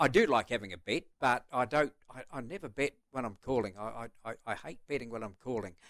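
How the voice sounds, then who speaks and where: With hardly any pauses, a man in a New Zealand accent talks fairly quickly at a medium pitch, his loudness swinging widely and his pitch varying in an ordinary way. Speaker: retiring greyhound racing commentator. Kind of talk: casual chat. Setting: studio.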